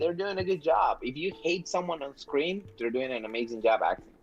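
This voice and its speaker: Music plays in the background as a man speaks at a moderate pace with very wide pitch swings. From Peru. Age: 20s. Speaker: actor. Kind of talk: interview. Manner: animated.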